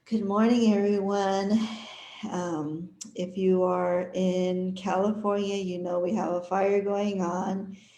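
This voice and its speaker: A woman speaks very slowly in a dark, mellow tone. Room echo is audible. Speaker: holistic wellness consultant and massage therapist. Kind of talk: live stream introduction. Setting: live online stream.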